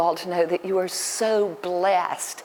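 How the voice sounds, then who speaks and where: Over noticeable background noise, a woman with a Southern US accent speaks at a fairly low pitch. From US South, Alabama. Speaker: dermatologist. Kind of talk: public talk. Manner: hesitant, many fillers.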